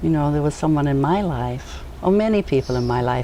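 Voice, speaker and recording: A woman talks at a fairly quick pace while noticeable background noise plays behind her. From New Zealand. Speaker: educator. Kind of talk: casual interview. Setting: outdoors on a back deck.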